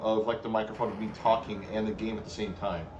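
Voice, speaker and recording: A man talks over noticeable background noise, with audible room echo. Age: 40s. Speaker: gaming streamer. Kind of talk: live stream commentary while gaming. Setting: home live stream. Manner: casual, halting with fillers. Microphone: cheap webcam microphone.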